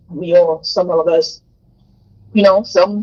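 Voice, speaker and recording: With an American accent, a woman speaks at medium pitch and a fairly slow pace. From New York. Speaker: live stream co-host. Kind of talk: live stream chat. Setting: phone call.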